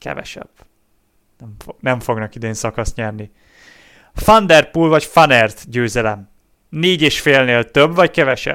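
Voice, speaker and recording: A man's bright, sharp tone at a medium pitch, with lively intonation, a fairly slow pace, long, frequent pauses and big swings in loudness. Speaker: cycling podcast co-host. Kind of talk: casual chat.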